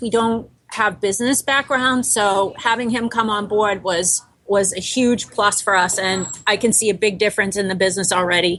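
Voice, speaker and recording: This woman has a bright, sharp tone and an American accent. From Boston. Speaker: bakery co-founder. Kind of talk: interview.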